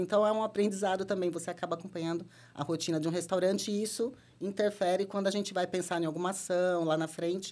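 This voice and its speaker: A woman speaks at a very fast pace in a fairly low pitch. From São Paulo state, Brazil (Americana). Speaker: marketing and brand director. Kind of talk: podcast interview.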